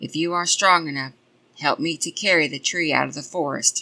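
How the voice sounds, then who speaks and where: A raspy, put-on character voice at middle pitch moves at a fairly quick pace over a very clean recording with a silent background. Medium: read story. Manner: gruff, scornful.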